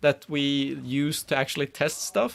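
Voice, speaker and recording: This man speaks with a Swedish accent. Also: very clean recording, silent background. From Sweden. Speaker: game community manager and streamer. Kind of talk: live stream commentary. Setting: live stream with webcam. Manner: casual, halting with fillers.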